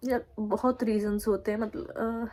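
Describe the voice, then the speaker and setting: A woman talks in a dark, mellow tone, her intonation fairly even. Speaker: vlogger. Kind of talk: casual vlog talk to camera.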